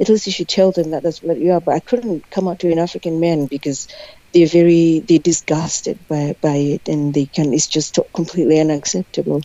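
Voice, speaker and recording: With a Zimbabwean accent, a woman speaks at a fairly low pitch with ordinary pitch variation and a fairly quick pace. Noticeable background noise is present. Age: 30s. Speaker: guest. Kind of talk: casual interview.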